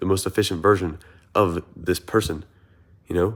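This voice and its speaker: With an American accent, a man with a very deep, low pitch speaks in an animated tone on a very clean recording with a silent background. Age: 20s. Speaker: content creator and runner. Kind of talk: motivational vlog monologue. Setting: sitting on a couch. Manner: casual, animated.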